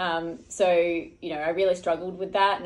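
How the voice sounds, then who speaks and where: With an Australian accent, a woman talks in a fairly low pitch. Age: 40s. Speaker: Olympic marathon runner; guest. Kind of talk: casual interview. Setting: hotel room. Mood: relaxed, reflective. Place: home room. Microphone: studio mic.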